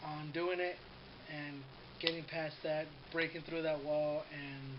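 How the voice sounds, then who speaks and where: In a room with audible echo, a man talks in a fairly high, monotone voice with flat intonation. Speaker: vlogger. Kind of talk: casual vlog monologue. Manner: says um a lot. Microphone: poor camera quality.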